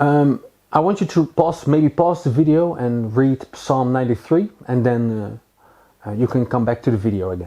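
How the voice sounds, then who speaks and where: A man with a Dutch accent speaks at a medium pitch and a moderate pace. His tone is dark and mellow, with lively intonation. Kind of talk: Bible teaching. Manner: halting, many fillers.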